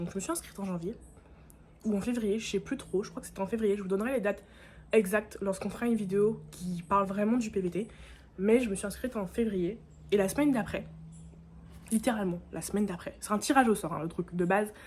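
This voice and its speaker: Speaking at a very fast pace yet with long, frequent pauses, a woman uses a medium pitch with ordinary pitch variation. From Guadeloupe. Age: 20s. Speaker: vlogger. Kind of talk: casual vlog talk to camera. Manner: animated.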